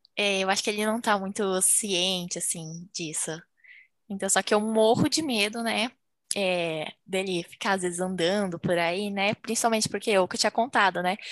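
A woman with a plain, everyday voice speaks at a medium pitch and a moderate pace, with ordinary pitch variation, over a quiet background. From Brazil. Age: 20s. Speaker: medical student. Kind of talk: casual chat.

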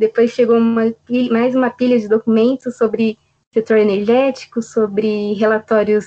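Here a woman uses a plain, everyday voice, speaking at a moderate pace and fairly high pitch. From Jundiaí, São Paulo state, Brazil. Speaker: documentation assistant. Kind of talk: interview testimony.

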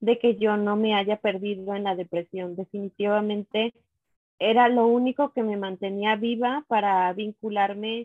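At a fairly slow pace, a woman speaks with a medium pitch and monotone, flat intonation. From Mexico, Teocelo, Veracruz. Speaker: mother sharing postpartum depression experience. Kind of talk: testimony.

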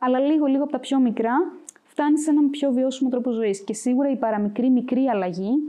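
A woman talks at a fairly quick pace with a high pitch. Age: 20s. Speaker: university student, volunteer organizer. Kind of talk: interview.

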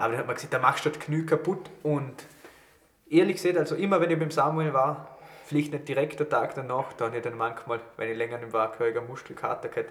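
A man rattles off words at a very fast pace while noticeable background noise carries on. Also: fairly high pitch for a man, ordinary pitch variation. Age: 20s. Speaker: podcast host and student. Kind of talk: casual chat. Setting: studio.

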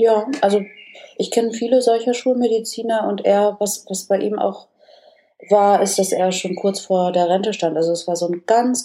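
At a fairly slow pace and with long, frequent pauses, a woman talks in a medium pitch with fairly even intonation. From northern Germany, Oldenburg area. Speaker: business coach and communication trainer. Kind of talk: casual interview.

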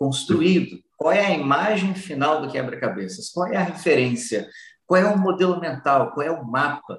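An unremarkable speaking voice, a man's, fairly high in pitch. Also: lively intonation, moderate pace. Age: 40s. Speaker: personal development speaker. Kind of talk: interview.

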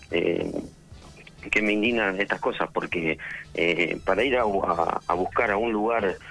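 A man's voice shows ordinary pitch variation while noticeable background noise plays behind it. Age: 20s. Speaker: nightclub manager. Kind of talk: radio interview.

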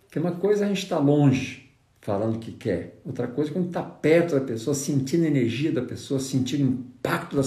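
A man talks at medium pitch. Room echo can be heard. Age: 60s. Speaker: negotiation trainer and consultant. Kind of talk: live stream talk. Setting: Instagram live stream.

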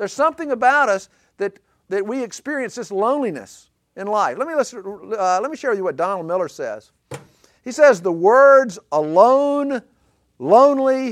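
A man talks with an Alabama accent. His intonation is lively. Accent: Southern US (Alabama). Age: 50s. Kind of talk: talk to a men's group. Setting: live group session. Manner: halting.

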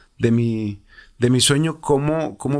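Very clean, silent-background recording of fairly even intonation. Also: man. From Mexico, Irapuato, Guanajuato. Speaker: retired professional footballer. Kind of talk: interview. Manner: halting, frequent repetitions.

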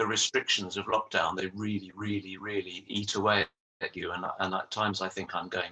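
A man speaks at a moderate pace with a fairly low pitch. His tone is bright and sharp. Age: 60s. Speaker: retired social worker and yoga practitioner. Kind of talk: casual chat.

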